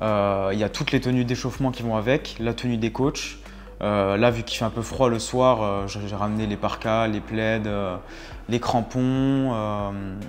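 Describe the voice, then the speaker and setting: Speaking very slowly, a man keeps fairly even intonation in a medium pitch. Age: 20s. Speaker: football club kit manager. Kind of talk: casual interview talk. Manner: hesitant, many fillers.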